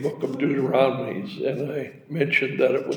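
Moderate pace from a man amid noticeable background noise. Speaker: scripture reader in church service. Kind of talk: reading aloud.

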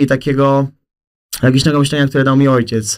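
The man speaks at a medium pitch. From south-eastern Poland. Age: 20s. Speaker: content creator. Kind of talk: casual chat. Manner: animated.

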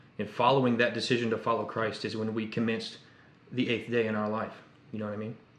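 A man with an American accent talks at a very fast pace and a medium pitch, his intonation monotone and flat. Audible room echo and noticeable background noise fill the recording. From Indiana. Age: 20s. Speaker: podcast co-host, counseling student. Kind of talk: casual chat.

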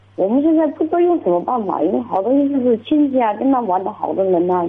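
Over noticeable background noise, someone talks very fast with very wide pitch swings and hardly any pauses. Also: woman. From Jiangxi, China. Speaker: caller, parent. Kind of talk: radio call-in advice.

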